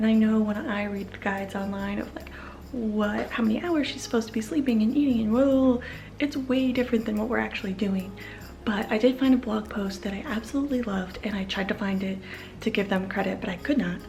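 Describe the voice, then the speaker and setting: A woman's fairly high voice with fairly even intonation at a fairly quick pace, with audible room echo and music in the background. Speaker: parenting vlogger. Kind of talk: casual vlog talk.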